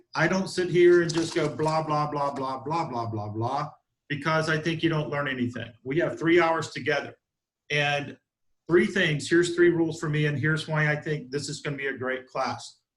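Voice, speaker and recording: A man with an American accent speaks in a somewhat breathy voice. His pitch is fairly high and his intonation fairly even. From US South, South Georgia. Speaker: real estate broker and instructor. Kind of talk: online training class. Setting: video call from office conference room. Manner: fast.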